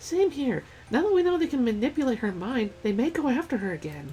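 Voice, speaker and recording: In a put-on character voice, the speaker talks fairly fast at a fairly high pitch with very wide pitch swings, over clear background noise. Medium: game stream. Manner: breezy, casual.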